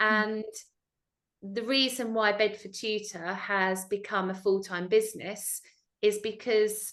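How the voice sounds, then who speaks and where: Here a woman speaks at a fairly slow pace. Her intonation is monotone and flat. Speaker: tutor, tutoring business owner. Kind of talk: interview. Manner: loud.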